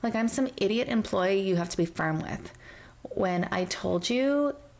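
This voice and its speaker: The voice is soft-spoken, with ordinary pitch variation. Its pace is moderate. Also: woman. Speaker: storyteller. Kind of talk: reddit story reading.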